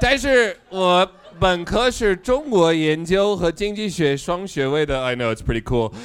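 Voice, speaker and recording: Speaking at a fairly slow pace in an English accent, a man uses a high pitch with very wide pitch swings. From United States. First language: English (speaking Chinese). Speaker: political satire YouTuber. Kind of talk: live comedic interview.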